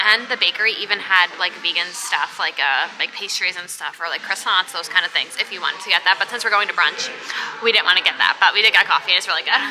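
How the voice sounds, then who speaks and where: A woman with an American accent talks at a very fast pace, her intonation fairly even. Music plays in the background. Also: medium pitch for a woman. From New York. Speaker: travel vlogger. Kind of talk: casual chat. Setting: outdoors.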